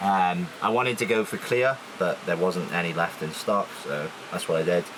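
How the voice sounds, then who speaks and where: This man speaks with a South Welsh accent and lively intonation. His pace is moderate, and there is noticeable background noise. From South Wales. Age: 20s. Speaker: naval engineer and van owner. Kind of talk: van tour walkthrough. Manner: hesitant, many fillers.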